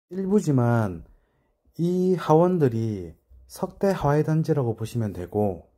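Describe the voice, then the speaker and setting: Very slow, very widely swinging speech from a man with a Busan accent, dark and mellow in tone, on a very clean recording with a silent background. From Busan, South Korea. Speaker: real estate agent. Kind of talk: explainer video. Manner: deliberate, careful enunciation.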